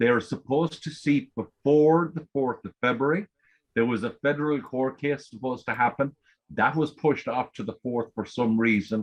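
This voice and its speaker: The man's pitch varies in an ordinary way, and his speed is moderate. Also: medium pitch for a man. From Ireland. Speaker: forum member asking questions on a call-in show. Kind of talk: casual call-in discussion.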